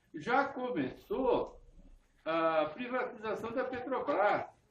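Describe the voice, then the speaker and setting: A man's pitch swings very widely as he talks through noticeable background noise. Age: 80s+. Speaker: party supporter at political meeting. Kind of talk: short speech at political meeting.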